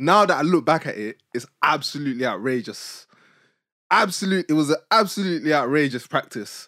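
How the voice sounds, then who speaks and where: In a very clean recording with a silent background, a man with a fairly high pitch and a bright, sharp tone talks at a fairly quick pace in a dry, close sound with no echo. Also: lively intonation. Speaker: podcast host. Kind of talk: casual chat.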